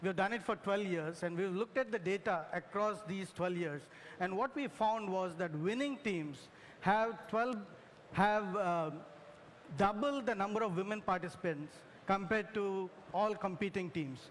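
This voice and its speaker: This man speaks in a Telugu accent at a high pitch. His pace is moderate, and his pitch varies in an ordinary way. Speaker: engineer, corporate tech executive. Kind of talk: panel discussion. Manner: hesitant, many fillers.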